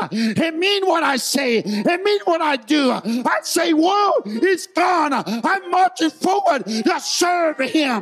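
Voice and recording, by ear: A man shouts in a raised voice at an extremely high pitch, at a slow pace with few pauses. His intonation is lively, and faint music plays in the background. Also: fairly bright tone.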